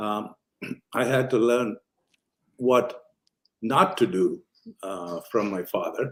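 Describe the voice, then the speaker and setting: Speaking very slowly with an Indian accent, a man at a medium pitch uses lively intonation and long, frequent pauses. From Kerala, India. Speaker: physician. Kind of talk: interview answer.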